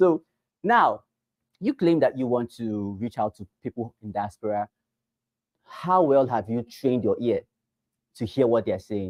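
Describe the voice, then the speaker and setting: With lively intonation, a man is captured in a dry, close sound with no echo. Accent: Nigerian. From Nigeria. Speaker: real estate sales trainer. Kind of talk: training session. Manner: animated.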